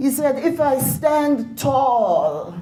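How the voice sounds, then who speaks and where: Noticeable background noise and audible room echo accompany a woman as she speaks. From Grenada. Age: 80s+. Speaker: former politician and educator. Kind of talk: speech to an audience.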